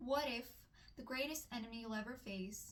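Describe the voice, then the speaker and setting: Audible room echo surrounds a woman's voice. She speaks fairly slowly at a fairly high pitch. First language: not English. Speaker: book reviewer. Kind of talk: book review vlog. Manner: hesitant with fillers.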